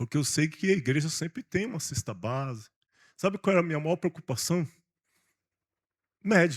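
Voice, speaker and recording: A man's fairly high voice at a moderate pace, with lively intonation and long, frequent pauses, on a very clean, dry, close recording with no echo and a silent background. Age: 60s. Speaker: pastor. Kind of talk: sermon. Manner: animated.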